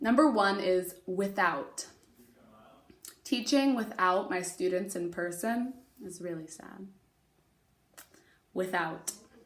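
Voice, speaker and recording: In a room with audible echo, a woman speaks very slowly with long, frequent pauses, big swings in loudness and ordinary pitch variation. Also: medium pitch for a woman. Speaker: elementary school teacher. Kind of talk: remote lesson, spelling test dictation. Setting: recorded video for students at home. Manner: clear enunciation of spelling words; fairly brisk pace.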